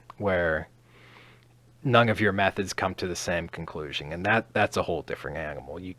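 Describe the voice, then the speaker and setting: Very deep, low male tones, captured on a very clean recording against a silent background. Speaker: science educator. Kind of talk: lecture. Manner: halting.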